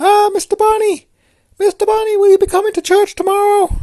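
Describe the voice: A put-on character voice comes at an extremely high pitch and a fairly quick pace. Its intonation is monotone and flat.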